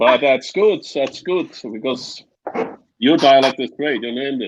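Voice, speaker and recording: The speaker has a Swiss German accent. The background is quiet. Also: man, fairly high pitch for a man, ordinary pitch variation, fairly slow pace. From Switzerland, Bernese Oberland. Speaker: guest on live discussion panel. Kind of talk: casual chat. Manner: halting.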